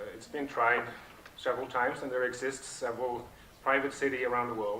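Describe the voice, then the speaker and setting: Speaking with a Norwegian accent, a man keeps a medium pitch and monotone, flat intonation amid audible room echo and noticeable background noise. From southern Norway. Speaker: project founder, speaker. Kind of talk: conference talk. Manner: halting, many fillers.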